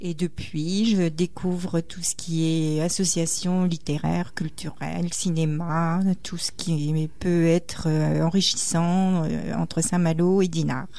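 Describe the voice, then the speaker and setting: A woman's fairly low, dark, mellow voice, flat and monotone, at a very slow pace with audible room echo. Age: 60s. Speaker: retired teacher. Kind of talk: radio interview.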